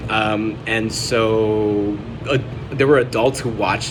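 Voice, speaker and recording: A man with a Spanish accent and a fairly low pitch is heard with audible room echo and noticeable background noise. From Chicago, US. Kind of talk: personal vlog journal entry. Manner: halting, many fillers.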